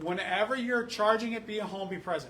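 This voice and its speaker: A man speaks in a raised, projected voice. Noticeable background noise and audible room echo surround him. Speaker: fire rescue officer. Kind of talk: public meeting presentation. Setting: community council meeting. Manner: fast.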